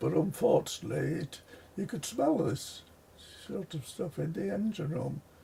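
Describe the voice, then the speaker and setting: Talking at a fairly slow pace, a man is heard through noticeable background noise. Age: 80s+. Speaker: retired railway commissioning engineer. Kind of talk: interview answer.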